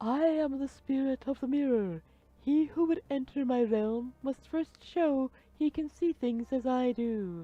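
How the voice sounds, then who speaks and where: In a put-on character voice, a woman talks slowly-ish at a fairly slow pace and a high pitch. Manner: solemn.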